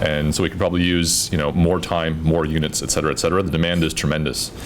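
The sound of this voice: Over clear background noise, a man speaks fast in an extremely low pitch with little pitch movement.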